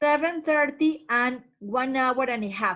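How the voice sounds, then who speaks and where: Lively intonation marks this voice with a Spanish accent. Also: woman. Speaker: English teacher. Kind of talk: language lesson. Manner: slow, repeating words for learners.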